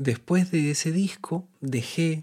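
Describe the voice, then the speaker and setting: A man with a dark, mellow tone is heard on a very clean recording with a silent background. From Peru, Lima. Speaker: musician and composer. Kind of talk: interview. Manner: hesitant, many fillers.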